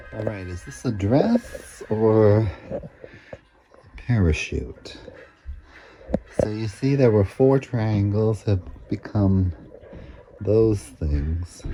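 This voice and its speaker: A man with an American accent speaks very slowly at a fairly low pitch, leaving long, frequent pauses. His loudness swings widely, and background noise is noticeable. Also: ordinary pitch variation. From Texas, Lubbock. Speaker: drag performer and vlogger. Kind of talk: casual sewing vlog. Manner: casual, rambling commentary.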